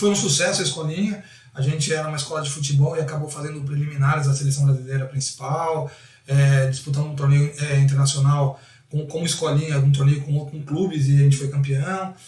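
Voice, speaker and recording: A man's fairly high voice in a monotone, flat intonation at a fairly quick pace. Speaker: football coach. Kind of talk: interview. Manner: fast.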